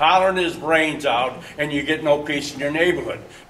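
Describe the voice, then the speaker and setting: A man with an American accent speaks at a fairly high pitch with fairly even intonation, amid audible room echo and noticeable background noise. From Michigan, Detroit area. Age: 60s. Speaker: resident speaking at town hall, Vietnam-era veteran. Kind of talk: public comment at community meeting. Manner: halting, repeats words.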